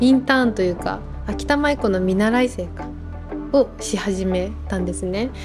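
Clear music sits in the background as a woman speaks at a fairly slow pace. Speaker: manager of a maiko troupe, behind-the-scenes staff and musician. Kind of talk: interview answer. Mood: warm, smiling. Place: home room. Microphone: lapel.

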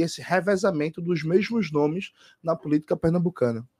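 A man's high-pitched voice with a dark, mellow tone and ordinary pitch variation, against a quiet background. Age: 30s. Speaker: gubernatorial candidate; candidate. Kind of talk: radio interview. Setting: studio. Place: home room.

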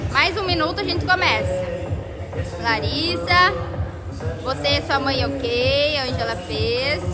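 Over loud background music, a woman speaks at a very slow pace. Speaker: fitness instructor. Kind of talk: casual live-stream chat. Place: gym. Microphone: phone near.

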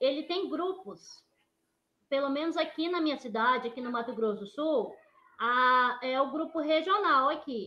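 A high-pitched woman at a fairly slow pace, her intonation lively. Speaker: air-conditioning technician, microentrepreneur; panelist. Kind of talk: webinar panel talk. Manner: soft-spoken. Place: home room. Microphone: very quiet audio; video call.

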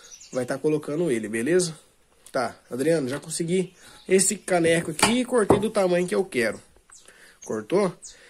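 A man speaks at a moderate pace with lively intonation, with noticeable background noise behind him. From Brazil. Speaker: DIY video maker. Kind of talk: tutorial. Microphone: phone near.

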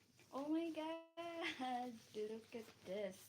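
The voice shows ordinary pitch variation, with audible echo from the room. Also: woman. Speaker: YouTuber. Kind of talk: live unboxing stream. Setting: live stream at home during work break. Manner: animated.

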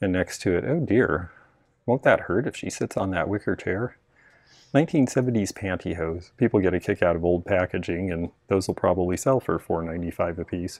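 A man speaks at a moderate pace in a very deep, low pitch. The background is quiet and the sound is dry with no echo. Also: ordinary pitch variation. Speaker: vintage reseller. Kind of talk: casual shopping vlog commentary. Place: shop. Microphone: phone near.

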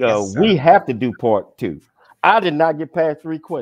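In a quiet background with a dry sound and no echo, a man speaks with very wide pitch swings. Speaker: talk show host. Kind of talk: talk show interview. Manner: animated. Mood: warm, admiring. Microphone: video call.

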